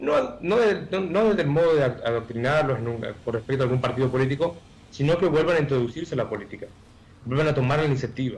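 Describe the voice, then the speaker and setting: A man's voice rushes along very fast. It sits fairly high, its pitch varying in an ordinary way. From Argentina, Chaco. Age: 20s. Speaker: candidate for public office. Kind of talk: radio interview. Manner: hesitant, many fillers.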